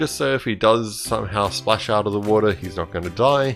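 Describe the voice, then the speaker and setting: Music plays behind a man whose voice sits fairly low. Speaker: Minecraft tutorial creator. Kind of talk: game tutorial narration.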